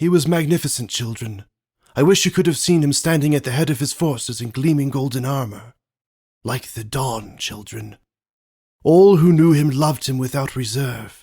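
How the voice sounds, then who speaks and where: Putting on a character voice, a man talks at a moderate pace and a medium pitch. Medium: read story.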